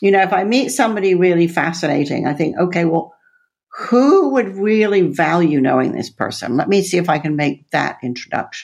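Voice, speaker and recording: This is an ordinary speaking voice from a woman with an American accent and a fairly low pitch. She talks at a fairly quick pace with lively intonation. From Texas, then Netherlands and UK. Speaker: author and former CEO. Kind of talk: interview.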